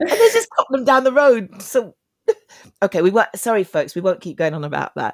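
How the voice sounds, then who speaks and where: With a London accent, a woman speaks at a fairly quick pace and fairly high pitch with very wide pitch swings, in a dry, close sound with no echo. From East London. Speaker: talk show host. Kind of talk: interview.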